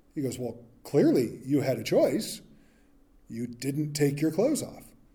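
Somewhat breathy and dark, mellow in tone, a man talks at a fairly high pitch with lively intonation. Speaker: pastor. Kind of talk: sermon. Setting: church. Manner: casual.

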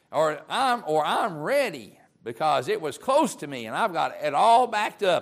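A man's voice with vocal fry and very wide pitch swings, in a very clean recording with a silent background. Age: 50s. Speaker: preacher. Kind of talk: sermon.

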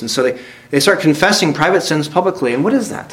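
A man's fairly high voice at a very fast pace, with audible room echo. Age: 30s. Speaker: visiting preacher. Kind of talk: sermon. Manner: halting, frequent word repetitions.

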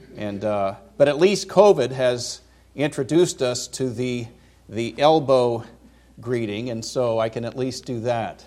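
Speaking with an American accent at a fairly slow pace, a man has a dark, mellow tone, a medium pitch and ordinary pitch variation. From California (Vacaville). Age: 50s. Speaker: seminary professor, visiting preacher. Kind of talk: sermon.

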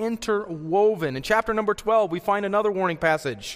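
Lively intonation marks this man's American accent. His pitch is high and his pace fairly quick. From Colorado, US. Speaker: pastor. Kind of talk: sermon. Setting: church.

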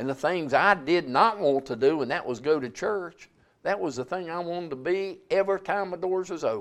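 In a Southern US accent, a man talks at a fairly quick pace. His pitch is high. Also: ordinary pitch variation. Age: 70s. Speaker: preacher. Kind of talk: sermon. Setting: church.

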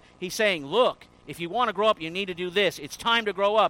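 A man's raised, projected voice, high in pitch, bright and sharp in tone. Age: 50s. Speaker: pastor. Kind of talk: sermon. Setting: church.

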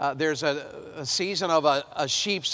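This man has a Southern US accent and a fairly high pitch, and he talks at a moderate pace. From US South. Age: 50s. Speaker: preacher. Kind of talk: sermon. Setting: chapel with audience.

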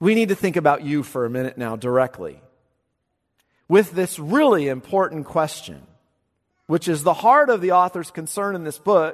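Over a quiet background, a man with a high voice for a man talks at a moderate pace with lively intonation. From California Central Valley. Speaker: pastor. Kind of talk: sermon.

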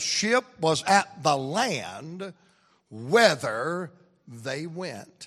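With a Southern US accent, a man speaks at a high pitch with very wide pitch swings. His tone is bright and sharp. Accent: Southern US (Georgia). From US South, Atlanta, Georgia. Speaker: preacher. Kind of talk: sermon. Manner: animated.

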